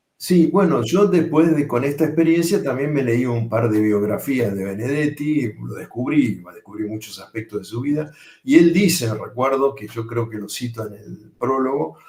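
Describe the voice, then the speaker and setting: Speaking with a Rioplatense accent, a man uses lively intonation and a dark, mellow, somewhat breathy tone at a moderate pace, with hardly any pauses and big swings in loudness. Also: medium pitch for a man. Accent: Rioplatense accent when speaking French. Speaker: poet and translator. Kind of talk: panel discussion. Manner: hesitant, many fillers.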